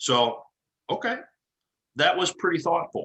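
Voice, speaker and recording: Using an ordinary speaking voice, a man with an American accent talks at a moderate pace with ordinary pitch variation. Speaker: engineering committee chairman. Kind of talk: presentation.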